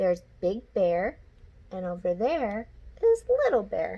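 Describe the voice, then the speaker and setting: Here a woman speaks in a put-on character voice. Her delivery is fairly slow. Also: medium pitch for a woman. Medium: read story.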